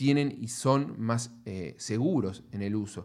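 A man with ordinary pitch variation on a very clean recording, silent background. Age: 40s. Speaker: pest control industry scientist and business manager. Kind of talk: interview. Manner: halting with frequent fillers.

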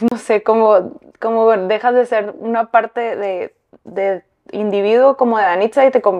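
Fairly high in pitch, a woman talks at a fairly slow pace in a plain, everyday voice. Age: 30s. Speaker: fashion designer. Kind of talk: interview.

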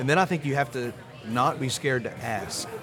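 This man speaks with an American accent at a medium pitch and a moderate pace, with ordinary pitch variation. Noticeable background noise runs under his voice. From US South, north Louisiana. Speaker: entrepreneur. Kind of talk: casual chat.

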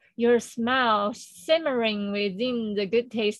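An unremarkable speaking voice moves at a fairly slow pace. The intonation is fairly even. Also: woman. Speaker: spiritual circle co-organizer. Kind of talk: reading aloud. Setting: video call.

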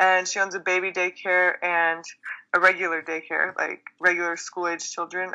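Against a quiet background, a woman speaks fairly slowly in a bright, sharp tone. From Texas. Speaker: chiropractor. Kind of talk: interview.

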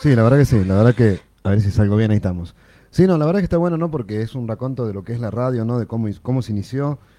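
The voice belongs to a man talking extremely fast. It has a dark, mellow tone. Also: medium pitch for a man, lively intonation. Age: 40s. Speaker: radio host. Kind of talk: casual chat.

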